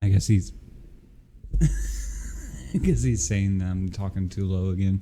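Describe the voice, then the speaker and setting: A soft-spoken man talks at a very slow pace in a very deep, low pitch. His tone is dark and mellow, and his intonation lively. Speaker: podcast co-host. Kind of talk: casual chat.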